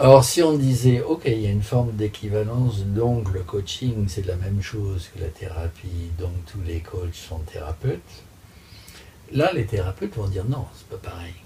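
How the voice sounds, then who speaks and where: A man speaks at a fairly slow pace in a fairly low pitch. His intonation is lively. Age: 60s. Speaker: master coach. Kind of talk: interview answers, explanatory. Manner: hesitant, many filler sounds.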